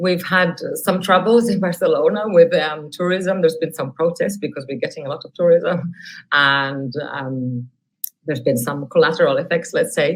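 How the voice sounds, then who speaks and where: Speaking with a Catalan accent, a woman keeps a moderate pace at a fairly low pitch. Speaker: academic researcher. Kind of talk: webinar software demonstration.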